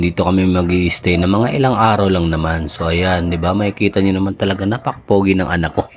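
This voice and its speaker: A man with a fairly low pitch races through his words at a very fast pace. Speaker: travel vlogger. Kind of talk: vlog narration. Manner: soft-spoken; playful.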